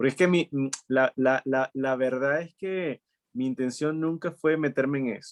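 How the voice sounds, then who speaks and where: The speaker talks at a fairly slow pace with ordinary pitch variation, in a dry, close sound with no echo. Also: man. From Venezuela (Maturín, studied in Caracas). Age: 40s. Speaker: entrepreneur. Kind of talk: interview conversation.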